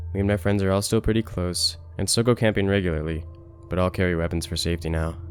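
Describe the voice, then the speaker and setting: Very deep and low in pitch, a man talks at a very fast pace. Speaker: story narrator. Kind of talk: scary story narration.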